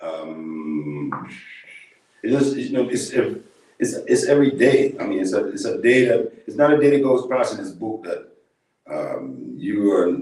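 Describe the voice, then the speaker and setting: A man talks at a fairly slow pace, leaving long, frequent pauses. His loudness swings widely. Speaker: author, guest on the radio show. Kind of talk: spiritual talk, interview answer.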